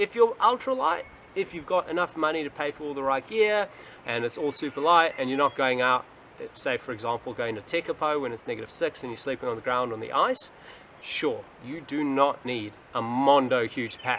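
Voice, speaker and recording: A man's fairly high voice in a New Zealand accent, with lively intonation and a fairly quick pace. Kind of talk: casual talk to camera. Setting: outdoors.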